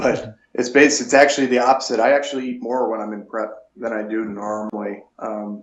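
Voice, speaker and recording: With an American accent and an unremarkable speaking voice, a man at medium pitch keeps his intonation fairly even while his loudness swings widely. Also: fairly quick pace, hardly any pauses. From Buffalo, New York. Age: 40s. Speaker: natural bodybuilder. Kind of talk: interview.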